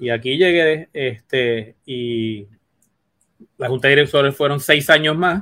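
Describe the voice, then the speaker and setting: A man with a plain, everyday voice speaks at a fairly slow pace, his pitch fairly high with ordinary variation. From Puerto Rico. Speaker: veterinarian. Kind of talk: interview.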